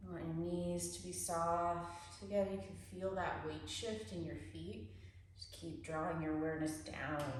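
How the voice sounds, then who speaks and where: Over noticeable background noise and audible room echo, a woman speaks at a fairly slow pace in a very deep, low pitch with very wide pitch swings. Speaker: yoga teacher. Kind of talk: guided somatic movement class. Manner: halting, many fillers.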